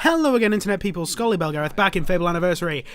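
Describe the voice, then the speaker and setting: A man with a British accent, high-pitched for a man, animated in tone, with ordinary pitch variation and a very fast pace. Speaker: gaming YouTuber. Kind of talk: let's play commentary.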